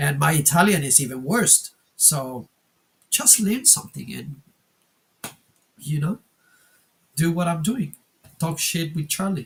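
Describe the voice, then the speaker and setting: Speaking with a Spanish accent, a man with a fairly high pitch moves at a fairly slow pace, his lively intonation broken by long, frequent pauses. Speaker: wargaming channel co-host. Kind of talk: casual chat. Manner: halting, many fillers.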